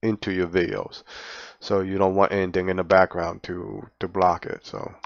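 A man talks at a fairly quick pace in a very deep, low pitch with monotone, flat intonation. The sound is dry with no echo against a quiet background. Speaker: tutorial maker. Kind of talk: tutorial. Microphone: headset.

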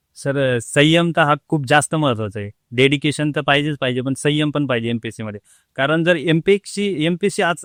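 A normal speaking voice with ordinary pitch variation comes through a dry, close sound with no echo. The recording is very clean, the background silent. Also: man. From Jalgaon district, Maharashtra, India. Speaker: government officer, former rickshaw driver. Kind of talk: interview.

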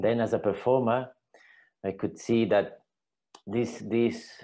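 A man's slow, fairly low voice, dark and mellow in tone, with fairly even intonation

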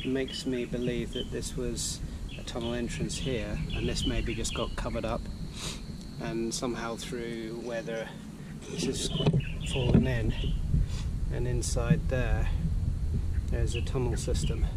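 Loud background noise sits behind a man's voice. He talks at a fairly slow pace with long, frequent pauses. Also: dry sound with no echo. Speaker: relic hunter vlogger. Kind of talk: casual vlog chat. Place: forest. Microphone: phone near.

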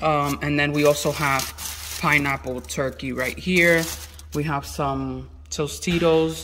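A man talks very slowly while light background noise plays underneath. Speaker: vlogger. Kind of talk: casual vlog chat. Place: home room. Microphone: phone near.

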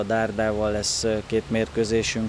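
A man with a fairly low pitch is heard in a dry recording with no echo and noticeable background noise. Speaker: basketball coach. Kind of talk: interview statements. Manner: halting, repeats words. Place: street. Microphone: handheld.

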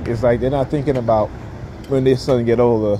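Over noticeable background noise, a man talks at a fairly quick pace in a monotone, flat intonation. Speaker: vlogger. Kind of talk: angry rant. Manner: loud, heated and indignant, with repeated "all right" and sarcastic laughs; rapid-fire, preachy and opinionated, with scornful, lecturing delivery. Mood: opinionated, preachy. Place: street. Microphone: phone near.

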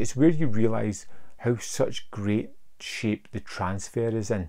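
In a dark, mellow tone, a man speaks at a fairly slow pace with a medium pitch and ordinary pitch variation.

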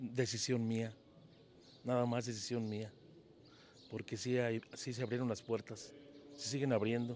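Over light background noise, a man of medium pitch speaks fairly slowly in a flat monotone with long, frequent pauses, and the sound is dry with no echo. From Mexico, Jalisco (La Barca); Jalisco, Mexico. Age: 50s. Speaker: singer and mechanic; interviewee. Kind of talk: interview. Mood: cheerful, smiling. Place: street. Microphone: handheld.

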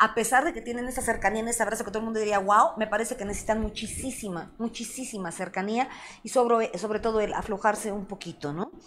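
Over light background noise, a woman speaks at a very fast pace. Her tone is animated, and she has a Mexican accent. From Mexico. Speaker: sex therapist and show host; show host. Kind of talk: live-stream talk show. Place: studio.

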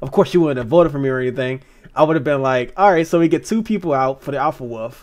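Over a quiet background, a man with a fairly high voice talks very fast. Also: ordinary pitch variation. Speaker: online game player. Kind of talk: casual chat. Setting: video call. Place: home room. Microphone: video call.

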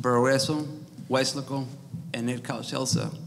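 A fairly high-pitched man with an American accent, slow-ish and flat in a monotone, over light background noise. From Texas, Rio Grande Valley (Weslaco); Texas. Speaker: school district employee, mayoral candidate; candidate. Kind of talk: candidate forum statements. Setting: live event with audience. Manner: reading prepared text. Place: meeting room. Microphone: podium.

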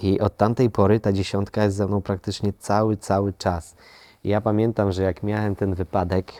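A man talks at a fairly low pitch with a dark, mellow tone. The sound is dry and close with no echo, on a very clean recording with a silent background. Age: 30s. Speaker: actor. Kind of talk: testimony. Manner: halting.

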